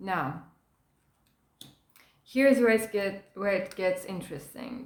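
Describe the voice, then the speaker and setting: Her intonation is lively while the woman talks at a very slow pace in a medium pitch. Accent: non-native. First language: not English. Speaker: tarot card reader. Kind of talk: tarot reading.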